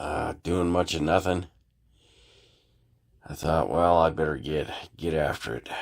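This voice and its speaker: Vocal fry at a fairly slow pace with fairly even intonation and long, frequent pauses, in a very clean recording with a silent background. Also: man, very deep, low pitch for a man. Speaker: scale model builder. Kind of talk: casual tutorial talk to camera.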